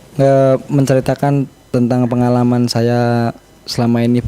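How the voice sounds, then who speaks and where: Very slow, monotone delivery with flat intonation over noticeable background noise. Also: man. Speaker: reporter. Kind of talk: casual chat. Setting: video call. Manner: halting.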